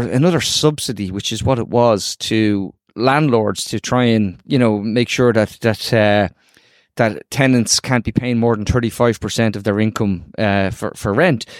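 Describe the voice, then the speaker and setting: A man with an Irish accent at medium pitch, ordinary pitch variation and a moderate pace in a very clean recording with a silent background. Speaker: podcast host. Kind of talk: casual interview chat.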